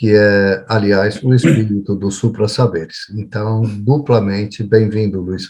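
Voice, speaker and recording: A man speaks at a fairly slow pace with hardly any pauses. His voice is fairly low and somewhat breathy, with fairly even intonation. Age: 60s. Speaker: psychologist, show host. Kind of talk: casual chat. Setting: video call.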